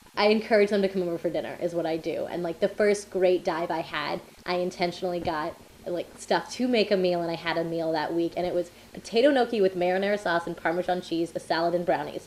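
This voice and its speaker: A woman with a fairly low voice and an American accent talks at a very fast pace with fairly even intonation. Noticeable background noise is present. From South Florida. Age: 20s. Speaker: PhD student. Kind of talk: interview.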